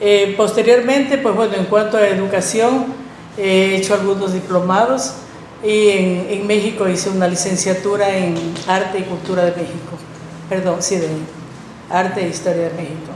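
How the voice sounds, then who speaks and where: Noticeable background noise and audible room echo surround a woman speaking at a moderate pace, with a medium pitch and fairly even intonation. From Ecuador, El Oro (Arenillas). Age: 60s. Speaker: teacher. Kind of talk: podcast interview, life story.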